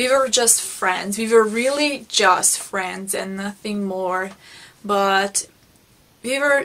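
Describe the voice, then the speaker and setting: A woman speaks at a very slow pace in a Hungarian accent. Her tone is bright and sharp, with ordinary pitch variation. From Hungary. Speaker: beauty vlogger. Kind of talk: personal storytelling vlog. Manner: halting, with repetitions.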